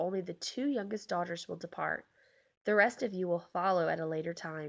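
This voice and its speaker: A raspy, female-sounding put-on character voice of medium pitch at a fairly quick pace, against a quiet background. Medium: read story. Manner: kind, gentle.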